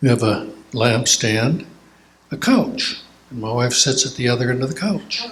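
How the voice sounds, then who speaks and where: A man with an Upper Midwest accent and very wide pitch swings. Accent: Upper Midwest American. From Minnesota. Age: 80s+. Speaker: church elder sharing memories. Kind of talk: casual Q&A talk. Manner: halting.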